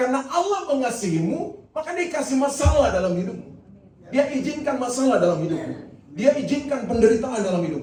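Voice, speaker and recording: Fairly quick speech with very wide pitch swings and audible room echo. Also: man. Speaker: pastor. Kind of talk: sermon. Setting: church.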